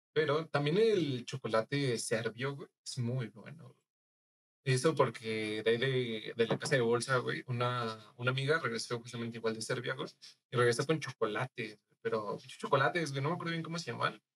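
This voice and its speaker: In a plain, everyday voice, a man speaks at a moderate pace and medium pitch, with ordinary pitch variation and big swings in loudness. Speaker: podcast guest. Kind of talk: casual chat.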